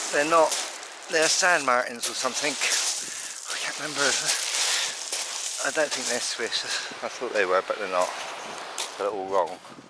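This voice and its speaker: Over noticeable background noise and audible room echo, a man speaks fairly slowly in a fairly high voice with very wide pitch swings. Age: 60s. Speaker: birdwatching vlogger. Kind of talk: casual vlog narration. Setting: outdoors.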